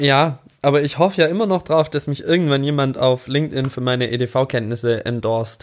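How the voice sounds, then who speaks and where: Speaking with a slight Swabian accent, a man uses a fairly high voice with ordinary pitch variation. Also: moderate pace. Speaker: podcast co-host. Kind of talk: casual chat.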